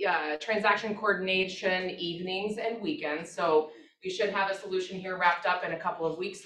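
A woman speaks at a fairly quick pace, with audible room echo and light background noise. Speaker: real estate agent. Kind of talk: team meeting discussion. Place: meeting room. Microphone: camera far.

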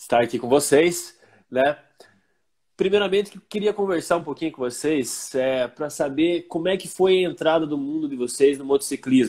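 An unremarkable speaking voice with lively intonation at a moderate pace, over a quiet background. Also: man. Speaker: motorcycle club live-stream host. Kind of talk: casual chat. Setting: video call. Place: home room.

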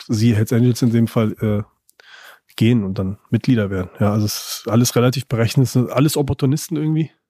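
A man speaks at medium pitch and a fairly quick pace in a dark, mellow tone. The sound is dry and close with no echo, on a very clean recording with a silent background. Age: 30s. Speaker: former gang member turned witness. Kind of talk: recorded interview.

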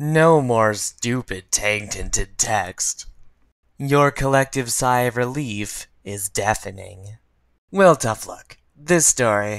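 On a very clean recording with a silent background, a man puts on a character voice at a medium pitch and a very slow pace. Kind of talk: comic dub reading. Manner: deadpan.

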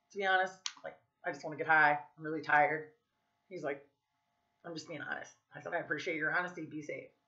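Against a quiet background, a woman speaks very fast in a very deep, low voice with monotone, flat intonation. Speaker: vlogger. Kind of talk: casual vlog chat. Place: home room. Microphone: webcam.

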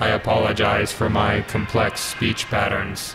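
A man performs a cartoonish character voice. Loud background noise runs behind him. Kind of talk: robotic, monotone. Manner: formal, precise, deadpan.

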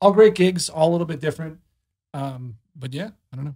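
A man's fairly quick speech comes out somewhat breathy. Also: quiet background. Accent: American. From Chicago. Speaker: club DJ. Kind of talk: casual chat. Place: studio. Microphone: studio mic.

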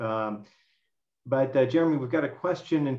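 In an unremarkable speaking voice, a man talks at a moderate pace and medium pitch over a quiet background. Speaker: professor hosting webinar. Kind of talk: webinar introduction and closing remarks; webinar moderation and closing remarks. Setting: video call. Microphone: video call.

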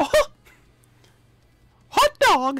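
Someone puts on a character voice, extremely high in pitch and cheerful in tone.

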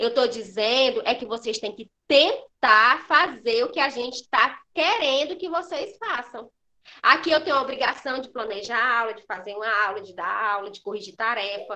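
The intonation is lively and the pace moderate. Loudness swings widely against a quiet background. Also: woman, high pitch for a woman. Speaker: primary school teacher. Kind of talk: lecture to pupils in an online class. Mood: firm, admonishing. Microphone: webcam.

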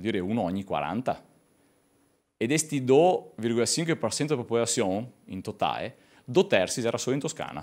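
A speaker talks at a fairly slow pace with very wide pitch swings and long, frequent pauses against a quiet background. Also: man. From Veneto. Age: 30s. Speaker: lecturer on Venetian language. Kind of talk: lecture. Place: hall. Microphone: podium.

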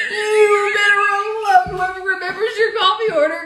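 Someone uses a put-on character voice. Loud background noise fills the recording. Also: moderate pace. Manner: creepy. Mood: giggly, joking.

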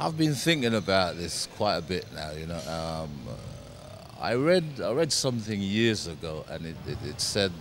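A man with a fairly low pitch talks at a fairly slow pace with hardly any pauses, his pitch swinging very widely and his loudness rising and falling sharply. The sound is dry with no echo, over light background noise. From Caribbean. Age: 60s. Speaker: former boxing champion and boxing coach. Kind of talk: interview answer. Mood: warm, reflective. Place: gym. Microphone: handheld.

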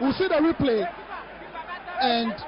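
Lively intonation and an excited tone over noticeable background noise. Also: man. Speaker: football commentator. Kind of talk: live sports commentary. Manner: excited, fast play-by-play with repetitions.

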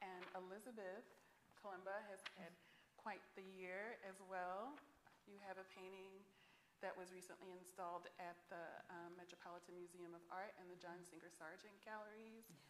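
Amid audible room echo and light background noise, a woman speaks with monotone, flat intonation and long, frequent pauses. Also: moderate pace. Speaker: art curator. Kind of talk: panel discussion moderation. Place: hall.

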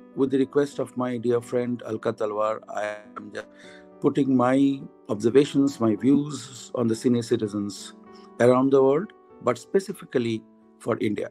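Over faint background music, a man talks at a moderate pace with ordinary pitch variation. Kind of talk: personal opinion talk to camera. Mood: earnest, concerned. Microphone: phone near.

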